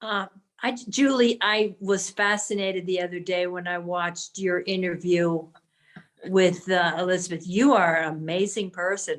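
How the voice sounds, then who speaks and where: A woman with a medium pitch speaks in an ordinary speaking voice at a moderate pace with fairly even intonation. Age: 60s. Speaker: support group member. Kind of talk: casual chat.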